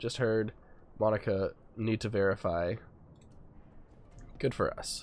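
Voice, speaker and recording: In a put-on character voice that is nasal and raspy, the speaker goes at a fairly slow pace with long, frequent pauses over clear background noise. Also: man, medium pitch for a man. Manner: terse, clipped.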